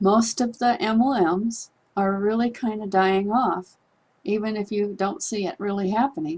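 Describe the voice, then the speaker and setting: At a fairly slow pace, a woman speaks in an unremarkable speaking voice with a medium pitch. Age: 60s. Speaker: online business promoter. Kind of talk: persuasive monologue to camera.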